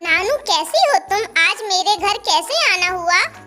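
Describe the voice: In a cartoonish character voice, a woman sounds squeaky, her pitch extremely high. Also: moderate pace.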